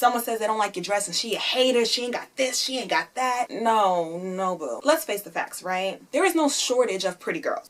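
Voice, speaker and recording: Amid noticeable background noise, a woman with a high pitch speaks in an animated tone at a fairly quick pace. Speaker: YouTuber. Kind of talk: opinion vlog. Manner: loud.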